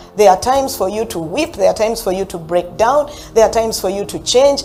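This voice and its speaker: Against noticeable background noise, a woman talks at a fairly quick pace. Her tone is animated and her intonation lively. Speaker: motivational speaker and customer service trainer. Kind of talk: motivational talk.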